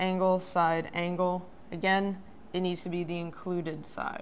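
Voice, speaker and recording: A woman speaks at a very slow pace with fairly even intonation. Light background noise sits behind her. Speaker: math educator. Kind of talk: tutorial. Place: studio.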